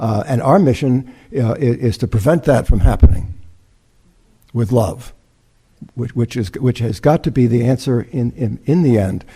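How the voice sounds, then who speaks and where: A man with a dark, mellow, somewhat breathy tone speaks at a medium pitch and a moderate pace. His pitch varies in an ordinary way, and he leaves long, frequent pauses. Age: 70s. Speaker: reverend, interfaith speaker. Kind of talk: sermon. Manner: halting, many repetitions and fillers.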